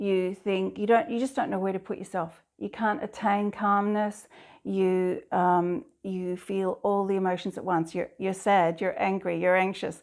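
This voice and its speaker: A woman with a slight Scottish accent speaks at a fairly slow pace in a medium pitch, hardly pausing, on a very clean recording with a silent background. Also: fairly even intonation. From Scotland. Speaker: abstract artist. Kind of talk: interview monologue. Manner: halting at times.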